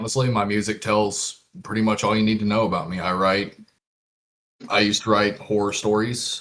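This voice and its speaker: A man talks at a fairly quick pace in a deadpan tone. His intonation is monotone and flat. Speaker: musician, songwriter. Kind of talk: casual interview.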